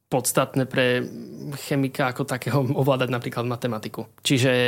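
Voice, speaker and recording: Recorded very cleanly against a silent background, a man speaks at a moderate pace with medium pitch and monotone, flat intonation. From eastern Slovakia, Košice. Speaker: chemistry student. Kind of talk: casual interview. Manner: halting, many fillers.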